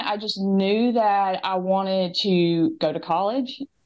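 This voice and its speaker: Her intonation lively, a woman with a strong Southern US accent talks at a fairly slow pace. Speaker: interview guest, former student mom. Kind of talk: interview storytelling. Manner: hesitant with fillers.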